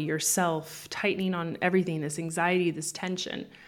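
Speaking in an ordinary speaking voice, a woman keeps her intonation fairly even at a fairly low pitch. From Canada. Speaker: business coach. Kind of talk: interview.

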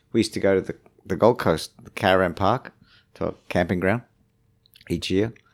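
Speaking in an Australian accent, a man uses a fairly low pitch and fairly even intonation. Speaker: surfing tour manager. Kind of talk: casual chat.

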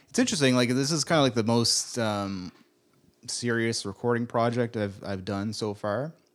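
A man's unremarkable speaking voice at medium pitch, with ordinary pitch variation and a moderate pace. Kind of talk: casual chat.

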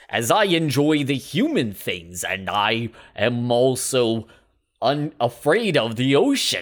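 Over a very clean recording with a silent background, a man at medium pitch does a put-on character voice at a fairly slow pace. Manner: stilted, unnatural, imitating a human.

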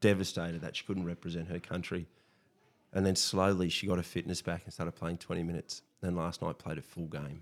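With an Australian accent, a man speaks fairly quickly in a very deep, low, flat monotone. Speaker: teacher. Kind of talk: casual chat.

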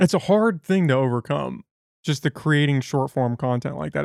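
A plain, everyday voice from a man, moderate in pace and fairly high in pitch. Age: 20s. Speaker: podcast host. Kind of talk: casual conversational interview.

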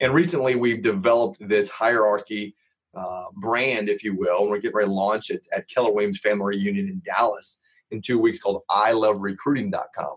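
Here a man speaks with an American accent. His pitch is fairly low. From Los Angeles, US. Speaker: real estate entrepreneur and software founder. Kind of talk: podcast interview.

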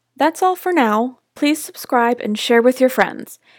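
Recorded very cleanly with a silent background and a dry, close sound with no echo, a woman with an American accent speaks with ordinary pitch variation. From Ohio, US Midwest. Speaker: podcast host. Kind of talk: scripted monologue intro.

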